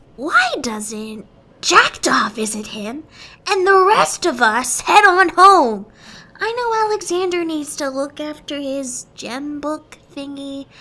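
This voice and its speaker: In a high, cartoonish character voice, the speaker talks at a fairly slow pace. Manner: casual, chatty.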